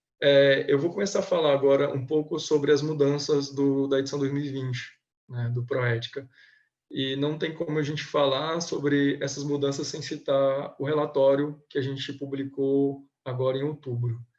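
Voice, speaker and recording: Man's voice at a fairly high pitch, moderate pace and monotone, flat intonation. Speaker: government compliance auditor. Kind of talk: webinar presentation. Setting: online webinar. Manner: hesitant, many filler sounds.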